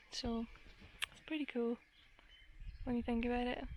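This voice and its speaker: With a Glaswegian accent, a woman speaks in a high pitch at a moderate pace. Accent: Glaswegian Scottish. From Scotland, Glasgow. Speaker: gardening vlogger. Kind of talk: casual vlog monologue.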